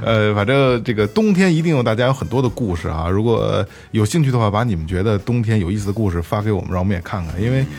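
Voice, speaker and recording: A man speaks at a very fast pace with hardly any pauses. His pitch is fairly low and his intonation lively. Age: 30s. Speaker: podcast host. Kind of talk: casual chat. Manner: halting, with many repeated words.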